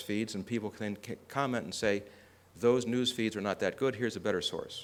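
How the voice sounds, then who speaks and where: A man is heard here. His voice lies in the middle range. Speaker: conference speaker. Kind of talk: conference presentation. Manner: fast.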